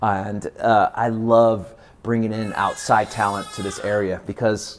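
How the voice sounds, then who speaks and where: With an American accent, a man talks at a fairly slow pace and medium pitch in a flat monotone over noticeable background noise. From Visalia, California. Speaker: stand-up comedian. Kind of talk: interview answer.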